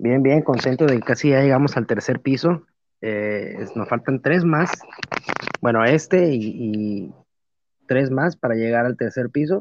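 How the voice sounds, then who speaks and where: An unremarkable speaking voice from a man at medium pitch and a fairly slow pace. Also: ordinary pitch variation. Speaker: podcast co-host. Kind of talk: casual chat.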